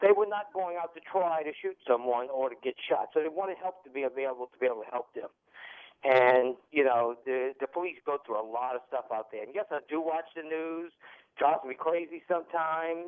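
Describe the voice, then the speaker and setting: Ordinary pitch variation runs through speech at a fairly quick pace. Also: man, fairly high pitch for a man. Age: 60s. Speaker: caller, former emergency medical technician. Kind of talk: phone-in call. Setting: phone call. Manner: emotional.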